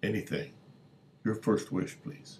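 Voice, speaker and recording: A man is speaking. He uses a put-on character voice. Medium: solo performance. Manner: formal, obliging.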